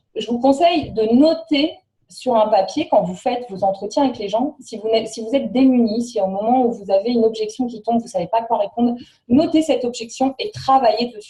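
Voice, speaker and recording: At a fairly quick pace, a woman with a high pitch speaks with ordinary pitch variation. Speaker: network marketing trainer. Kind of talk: training presentation. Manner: fast.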